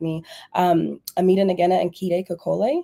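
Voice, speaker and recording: A woman speaks with an American accent at a medium pitch. Her tone is dark and mellow. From US, Denver, Colorado. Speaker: psychologist and researcher. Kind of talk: casual interview on a livestream. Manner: animated, filler-heavy with repetitions.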